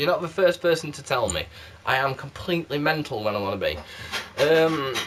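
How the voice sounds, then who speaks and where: There is noticeable background noise behind this man. He speaks at a moderate pace in a fairly high pitch. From South Yorkshire, England. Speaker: candle reviewer vlogger. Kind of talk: casual vlog. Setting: home video recorded on game console camera. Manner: animated.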